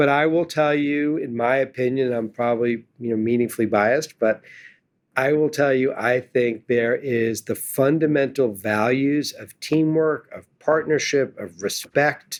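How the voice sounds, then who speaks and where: Using a normal speaking voice, a man with a medium pitch speaks fairly slowly with fairly even intonation. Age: 60s. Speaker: investment firm founder and CEO. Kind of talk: interview. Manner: conversational.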